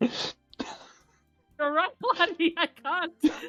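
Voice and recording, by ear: A put-on character voice in a Scottish accent plays over faint background music. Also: woman, extremely high pitch for a woman.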